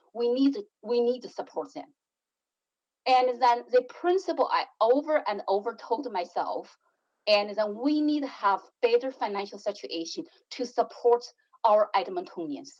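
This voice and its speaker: With a non-native accent and a high pitch, a woman speaks at a fairly slow pace with lively intonation. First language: not English. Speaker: city councillor. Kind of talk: council debate speech. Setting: council chamber.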